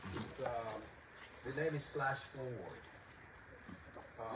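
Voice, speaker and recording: Over noticeable background noise and audible room echo, a man with a Puerto Rican accent speaks at a fairly slow pace, medium in pitch with ordinary pitch variation. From Puerto Rico. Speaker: composer and poet. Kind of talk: concert introduction talk. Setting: outdoor concert in a garden. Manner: halting.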